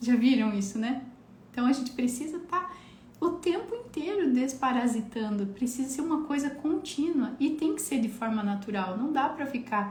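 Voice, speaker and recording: A woman speaks with a high pitch and lively intonation. Some room echo can be heard. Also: moderate pace. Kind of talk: live stream health talk. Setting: live stream.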